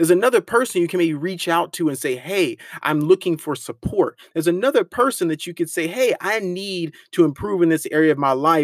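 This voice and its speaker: Speech in an animated tone moves at a fairly quick pace on a very clean recording with a silent background. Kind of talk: pep talk.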